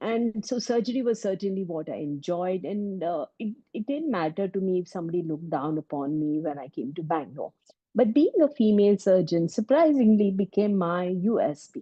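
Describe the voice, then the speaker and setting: Speaking in a Kannada accent with hardly any pauses, a woman at medium pitch swings her pitch very widely. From India, Mumbai. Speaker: breast surgeon. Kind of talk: interview testimony.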